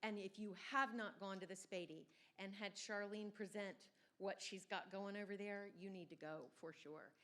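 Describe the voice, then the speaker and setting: An ordinary speaking voice from a woman with an American accent, medium pitch, fairly even intonation and a moderate pace. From Southern Virginia. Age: 50s. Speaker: event organizer. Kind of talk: audience comment.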